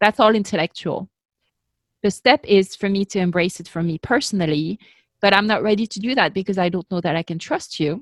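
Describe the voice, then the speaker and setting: A woman with a French accent talks at a fairly quick pace with ordinary pitch variation on a very clean recording with a silent background. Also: medium pitch for a woman. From France. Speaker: ministry leader. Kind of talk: interview.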